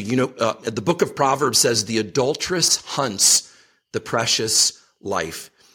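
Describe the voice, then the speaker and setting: A man's medium-pitched voice with a bright, sharp tone at a fairly slow pace. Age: 50s. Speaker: ministry leader. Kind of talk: interview.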